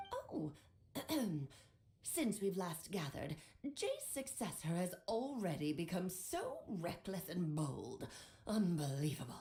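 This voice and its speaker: Her pace is fairly slow as a woman does a put-on character voice. The pitch stays in a medium range. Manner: scolding, haughty.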